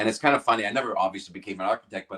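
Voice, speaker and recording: A man with a bright, sharp tone and a Canadian accent. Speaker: rock singer and guitarist. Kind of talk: interview.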